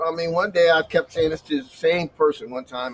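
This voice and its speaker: Noticeable background noise runs under this recording. A man talks at a moderate pace with lively intonation. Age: 60s. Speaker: bus driver and former shelter resident. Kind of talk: casual chat. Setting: livestream.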